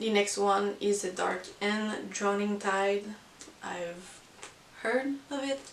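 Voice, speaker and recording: A woman with a non-native accent, very slow pace and fairly even intonation, over noticeable background noise. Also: medium pitch for a woman. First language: not English. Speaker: book vlogger. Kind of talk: casual monthly book review. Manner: hesitant, many fillers.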